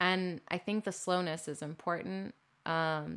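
This woman has an unremarkable speaking voice, pitched fairly low, with ordinary pitch variation. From Texas, Corpus Christi. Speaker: artist. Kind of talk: casual interview.

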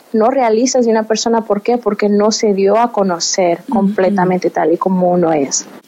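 Over noticeable background noise, a woman with a fairly high pitch talks at a fairly slow pace using fairly even intonation. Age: 20s. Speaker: interview guest sharing faith story. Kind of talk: testimony interview. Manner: halting, frequent word repetitions.

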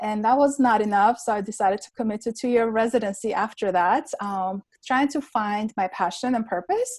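With an Armenian accent, the speaker talks at a moderate pace with ordinary pitch variation and hardly any pauses, in a very clean recording with a silent background. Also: woman, fairly high pitch for a woman. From Armenia (Yerevan). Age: 30s. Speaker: pharmacist and entrepreneur. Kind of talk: podcast interview.

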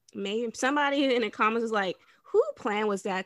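A woman speaks in a normal speaking voice, keeping a moderate pace with ordinary pitch variation. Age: 20s. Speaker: podcast co-host. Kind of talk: casual chat.

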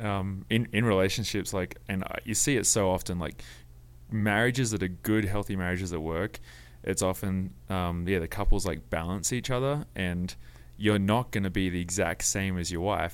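In a very clean recording with a silent background, a man in an Australian accent speaks at a fairly quick pace with a very deep, low pitch and ordinary pitch variation. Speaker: worship pastor and mountain bike racer. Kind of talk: casual chat. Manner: hesitant, many fillers.

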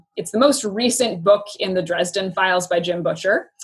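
This woman speaks with a West Coast accent. Her pitch sits in the medium range. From US Pacific Northwest (Yakima, Washington). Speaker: former teacher. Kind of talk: casual interview. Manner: halting, with many fillers.

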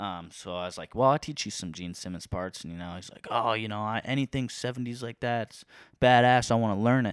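A fairly quick pace with a Midwestern American accent. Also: man, medium pitch for a man, ordinary pitch variation, big swings in loudness, dry, close sound with no echo. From eastern Iowa. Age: 20s. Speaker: community college student and musician. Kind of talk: casual chat.

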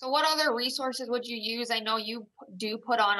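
A woman talks fairly quickly with a Midwestern American accent. Her tone is bright and sharp, and her pitch varies an ordinary amount. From Iowa, small town. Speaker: retail store employee and hunter. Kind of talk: interview questions in casual chat. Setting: video call.

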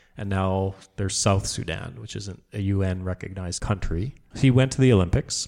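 In a very clean recording with a silent background, a man with a fairly low pitch speaks in an animated tone at a moderate pace with ordinary pitch variation. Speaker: podcast host. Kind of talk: casual banter podcast chat. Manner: joking, animated.

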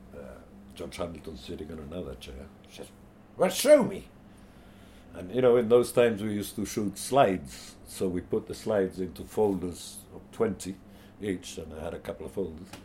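With vocal fry and a very deep, low pitch, a man speaks at a moderate pace with lively intonation and big swings in loudness. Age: 60s. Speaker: photographer. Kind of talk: interview storytelling.

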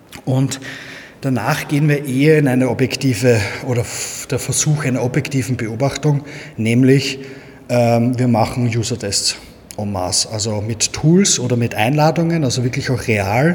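A man with a Viennese accent at a moderate pace, with long, frequent pauses and noticeable background noise. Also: medium pitch for a man, ordinary pitch variation. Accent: Viennese Austrian German. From Austria, Vienna. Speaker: agency owner, SEO expert. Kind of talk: casual interview.

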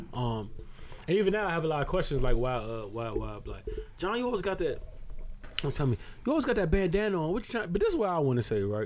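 Audible room echo surrounds a man speaking very fast in a high voice that makes very wide pitch swings. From Barbados. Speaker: podcast co-host. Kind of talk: casual chat.

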